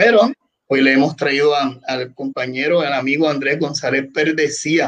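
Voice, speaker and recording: With an ordinary speaking voice, a man talks at a moderate pace, fairly high in pitch and with ordinary pitch variation. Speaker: podcast host and salesman. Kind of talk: casual discussion. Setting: Facebook live stream.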